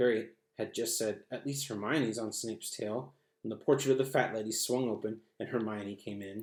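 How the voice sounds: Quiet background behind a natural reading voice.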